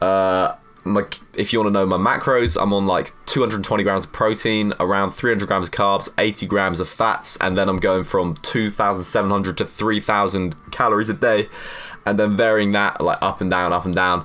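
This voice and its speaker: Animated in tone and fairly quick, a man speaks at a fairly low pitch over noticeable background noise. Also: very even loudness. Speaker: fitness youtuber; university student. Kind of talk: casual Q&A monologue. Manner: fast.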